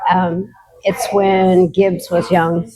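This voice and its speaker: There is noticeable background noise as a woman speaks with an American accent. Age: 60s. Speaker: recovery community member. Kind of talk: interview. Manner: casual, hesitant with fillers.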